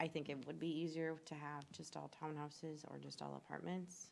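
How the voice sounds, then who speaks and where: A soft-spoken woman talks at a moderate pace. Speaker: planning commission member. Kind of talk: public meeting discussion. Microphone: too quiet on the microphone.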